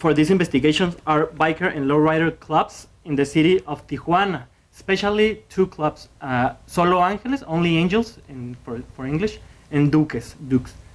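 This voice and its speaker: The speaker has a Spanish accent and keeps a moderate pace. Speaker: graduate student presenter. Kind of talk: conference presentation. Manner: halting.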